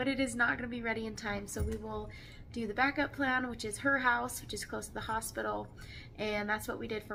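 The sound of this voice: The delivery is fast with fairly even intonation. Vocal fry runs through it. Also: woman.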